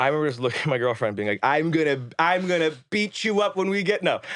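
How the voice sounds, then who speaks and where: On a very clean recording with a silent background, a man speaks in an animated tone at a fairly quick pace, his fairly high pitch moving in very wide swings. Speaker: filmmaker. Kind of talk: casual interview chat. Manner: fast.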